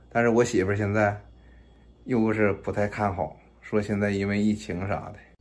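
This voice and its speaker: There is audible room echo as a man talks at a fairly low pitch. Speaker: vlogger. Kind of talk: casual vlog chat. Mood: earnest, planning a business. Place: kitchen. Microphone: phone near.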